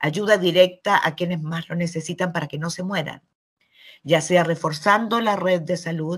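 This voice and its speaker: A woman's fairly low, somewhat breathy voice at a moderate pace, fairly even intonation, big swings in loudness, and a very clean recording with a silent background. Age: 70s. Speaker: journalist. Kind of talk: interview answers.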